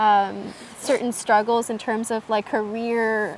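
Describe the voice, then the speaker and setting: In a Midwestern US accent, a woman speaks at a fairly high pitch with monotone, flat intonation. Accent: General American, Midwestern. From US Midwest, Michigan. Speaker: podcast guest. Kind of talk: casual interview chat.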